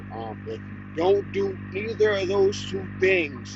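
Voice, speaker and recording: With an American accent, a man talks amid noticeable background noise and audible room echo. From Harrisburg, Pennsylvania, US. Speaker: fishing livestreamer. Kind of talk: live stream chat. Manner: loud.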